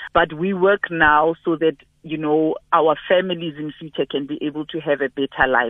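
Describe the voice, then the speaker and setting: A woman speaks in a South African accent. Her pitch is very deep and low. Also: fairly even intonation, moderate pace. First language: Sepedi. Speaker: beekeeper and business founder, guest presenter. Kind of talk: radio interview.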